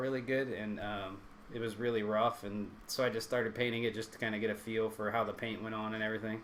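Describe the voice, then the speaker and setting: The speech moves at a very fast pace. An echo from the room can be heard. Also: man. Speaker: YouTuber and 3D print maker. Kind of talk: live stream tutorial. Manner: halting, many fillers; casual.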